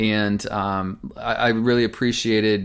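A man speaks with a fairly low pitch and fairly even intonation. He has a plain, everyday voice. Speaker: podcast co-host. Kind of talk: casual podcast discussion.

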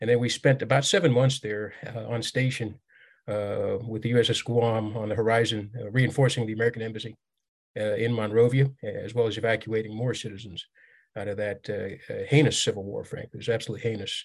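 Speaking at a fairly quick pace, a man with a medium pitch sounds somewhat breathy, his intonation fairly even. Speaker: military veteran and author. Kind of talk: casual interview chat.

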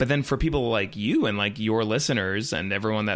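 Here is a plain, everyday voice: a man at medium pitch with an American accent and ordinary pitch variation. The recording is very clean, with a silent background. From US South, Raleigh, North Carolina. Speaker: Disney podcaster and blogger, former theme park employee. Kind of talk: casual chat.

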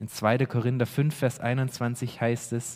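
A very slow, somewhat breathy male voice with a dark, mellow tone, on a very clean recording with a silent background. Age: 30s. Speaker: pastor. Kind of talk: sermon. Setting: church. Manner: earnest, preaching; emphatic, repeating key phrases.

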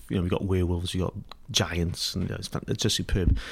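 A man speaks in a very deep, low voice with flat, monotone intonation. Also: very clean recording, silent background. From Wales, Pembrokeshire. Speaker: artist, musician and bar owner. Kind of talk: interview. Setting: apartment. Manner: halting, many fillers and repetitions.

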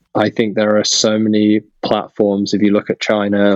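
With a British accent, a man speaks at a moderate pace and a fairly low pitch, the sound dry and close with no echo. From UK. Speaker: startup founder and CEO. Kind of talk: interview. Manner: hesitant with fillers and repetitions.

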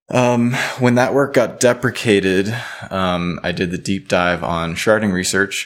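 Slow-ish at a fairly slow pace, a man with an American accent and an unremarkable speaking voice talks in a fairly low pitch with ordinary pitch variation. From US South, Louisiana (Baton Rouge). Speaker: blockchain researcher. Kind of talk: podcast interview. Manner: frequent fillers, casual.

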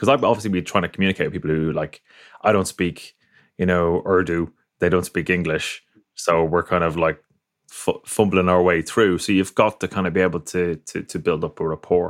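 On a very clean recording with a silent background, a man with an Irish accent speaks at a fairly quick pace, with a very deep, low pitch and fairly even intonation. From Ireland. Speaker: podcast host and photographer. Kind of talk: interview conversation.

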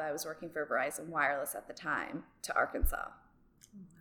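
A woman with an American accent over music in the background. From New Jersey. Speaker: drama teacher and yoga instructor. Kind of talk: interview.

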